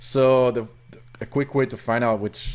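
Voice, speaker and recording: A man speaks at a moderate pace in a French Canadian accent. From Quebec. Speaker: hobbyist programmer / rom hacker. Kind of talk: screen-recorded coding tutorial. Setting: live stream with chat. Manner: halting, many fillers and self-corrections.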